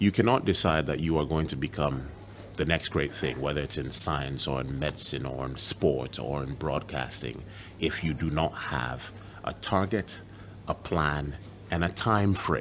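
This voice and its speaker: With vocal fry and a very deep, low pitch, a man talks at a moderate pace with ordinary pitch variation. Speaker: journalist; broadcaster. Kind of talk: motivational video address. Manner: soft-spoken.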